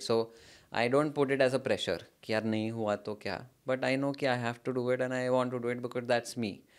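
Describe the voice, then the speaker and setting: Over a quiet background, a man speaks at a moderate pace in a monotone, flat intonation. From India. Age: young. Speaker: startup founder; guest. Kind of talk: interview. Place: studio. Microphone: studio mic.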